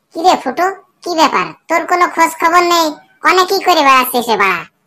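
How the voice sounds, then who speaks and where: Squeaky and extremely high, a cartoonish character voice moves at a fairly quick pace. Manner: casual, slangy.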